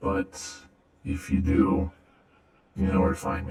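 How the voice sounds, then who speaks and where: A man puts on a raspy character voice pitched very deep and low. He talks fairly slowly, and a clear echo follows his words. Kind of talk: ASMR roleplay. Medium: audio drama. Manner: hesitant, soft-spoken, friendly.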